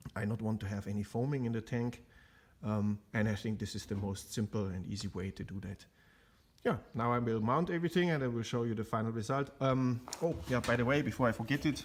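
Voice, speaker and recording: A man at a medium pitch, with ordinary pitch variation and a fairly quick pace, in a very clean recording against a silent background. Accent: German. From Germany. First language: German. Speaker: car restoration hobbyist. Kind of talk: tutorial. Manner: halting, many fillers.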